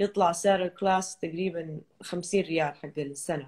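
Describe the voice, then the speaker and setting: A woman with an ordinary speaking voice talks in a fairly low pitch with fairly even intonation against a quiet background. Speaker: fitness trainer. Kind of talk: interview. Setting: video call. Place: home room. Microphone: video call.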